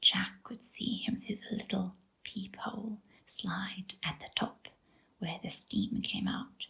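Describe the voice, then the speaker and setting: A soft-spoken woman's voice, bright and sharp yet gentle in tone, at a very slow pace. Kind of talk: sleep story reading. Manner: soft-spoken, gentle.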